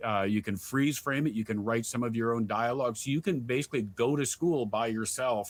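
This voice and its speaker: A man's medium-pitched voice at a fairly quick pace, an unremarkable speaking voice with ordinary pitch variation, on a very clean recording with a silent background. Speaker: voice actor and sports video game announcer. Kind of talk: interview answer. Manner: casual, conversational.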